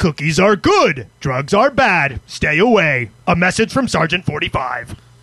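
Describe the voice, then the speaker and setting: In a put-on character voice, a man speaks at a fairly slow pace with a high pitch. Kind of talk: military. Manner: gruff, commanding.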